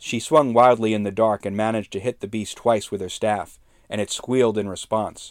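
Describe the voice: A plain reading aloud delivered with fairly even intonation.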